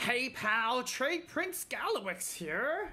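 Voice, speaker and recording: A put-on, female-sounding character voice, high in pitch with very wide swings, at a very slow pace over light background noise. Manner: cheerful, hawking, salesman-like.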